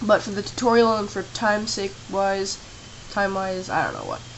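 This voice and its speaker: Noticeable background noise beneath a woman's fairly high-pitched voice, her pace moderate. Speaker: tutorial maker. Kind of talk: screen-recorded software tutorial. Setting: home camera microphone.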